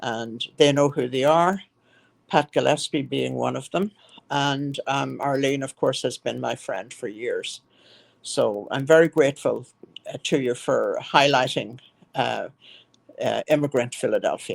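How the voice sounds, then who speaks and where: A woman with an Irish accent speaks at a fairly slow pace. Her speech has long, frequent pauses. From Ireland, County Monaghan. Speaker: nonprofit founder, former physical therapist. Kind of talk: interview. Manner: halting.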